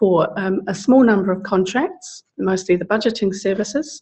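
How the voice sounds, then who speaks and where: With a South London accent, a woman speaks in a somewhat breathy, medium-pitched voice with ordinary pitch variation. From England, South London. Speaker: social services advocate. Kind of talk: seminar talk. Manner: halting, many fillers.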